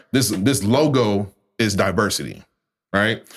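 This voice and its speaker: An American-accented male speaker. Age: 30s. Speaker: community organizer. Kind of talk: casual chat.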